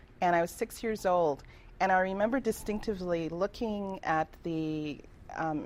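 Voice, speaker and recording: At a moderate pace, a woman speaks in an unremarkable speaking voice with medium pitch and ordinary pitch variation. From Toronto, Canada (born in Trinidad). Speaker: reverend and life coach. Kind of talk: radio interview.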